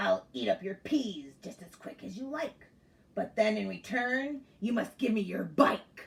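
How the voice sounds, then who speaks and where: A woman uses a put-on character voice, pitched fairly high and growling. She talks at a moderate pace. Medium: read story. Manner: growling, demanding.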